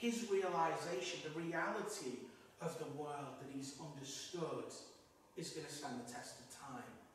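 Over light background noise and strong room echo, a man speaks at a fairly slow pace with a high pitch. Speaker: priest giving homily. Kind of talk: sermon. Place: church.

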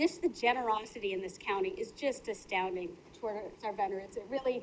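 A woman talks at a fairly quick pace. She has an American accent. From US Midwest, Minnesota. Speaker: county official. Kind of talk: public meeting report. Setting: county board meeting. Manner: fast.

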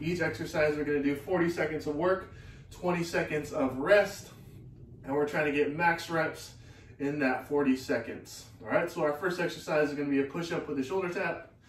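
Audible room echo surrounds a man's voice. He has a fairly high pitch and keeps a moderate pace. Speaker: fitness instructor. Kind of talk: guided workout class with cues and countdowns. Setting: online live class, video. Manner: energetic, clipped, motivating; rhythmic, counting down out loud. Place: garage. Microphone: camera far.

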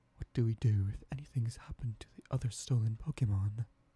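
Whispering comes through at a very fast pace, soft-spoken. The sound is dry, with no echo. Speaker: gameplay narrator voicing characters. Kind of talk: reading game dialogue aloud. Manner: soft ASMR whisper, worried question.

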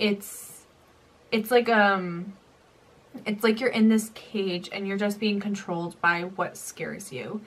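The speech is very slow and somewhat breathy, with fairly even intonation. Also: woman, medium pitch for a woman. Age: young. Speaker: YouTuber and nursing student; YouTuber. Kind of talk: story time vlog. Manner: casual. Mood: emotional, recounting painful memory. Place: home room.

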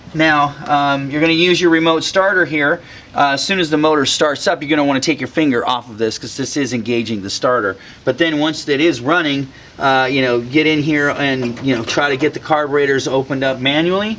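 Speaking at a fairly quick pace, the man shows ordinary pitch variation. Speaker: DIY mechanic host. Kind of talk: tutorial. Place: garage. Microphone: lapel.

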